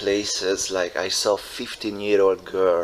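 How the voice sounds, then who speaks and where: A man with a Hungarian accent, fairly low in pitch, at a very slow pace in a monotone, flat delivery, with noticeable background noise. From Hungary. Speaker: show host. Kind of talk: casual interview chat. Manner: halting, many fillers.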